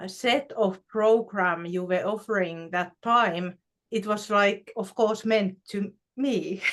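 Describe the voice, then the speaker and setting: A woman with a Finnish accent and a medium pitch speaks at a very slow pace. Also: fairly even intonation. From Finland. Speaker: spiritual show co-host. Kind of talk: casual spiritual conversation. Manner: halting, many fillers.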